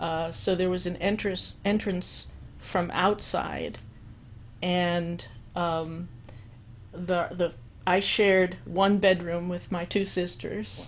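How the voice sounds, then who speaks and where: With an American accent, a woman speaks very slowly in a fairly low pitch, her intonation fairly even and her speech broken by long, frequent pauses. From New York, the Bronx. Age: 60s. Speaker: musician and composer. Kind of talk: interview. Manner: halting.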